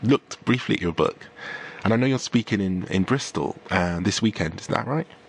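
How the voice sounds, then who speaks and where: A man's fairly low voice with lively intonation over noticeable background noise. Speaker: radio host. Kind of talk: radio interview. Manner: loud; animated.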